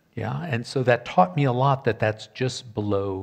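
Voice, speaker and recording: Over a quiet background, a man with an American accent speaks at a moderate pace. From Michigan, US Midwest (Detroit area); Michigan. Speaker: professor, historian of ideas; professor. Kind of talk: panel discussion. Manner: hesitant, frequent ums. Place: stage. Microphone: headset.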